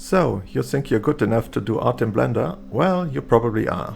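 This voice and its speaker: A man with a non-native accent talks at a moderate pace over music in the background. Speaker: 3D artist, tutorial maker. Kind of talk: software tutorial narration.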